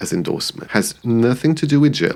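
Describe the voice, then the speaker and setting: A man's voice is heard. He speaks with a non-native accent. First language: not English. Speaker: YouTuber, commentary creator. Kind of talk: personal video essay. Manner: reflective.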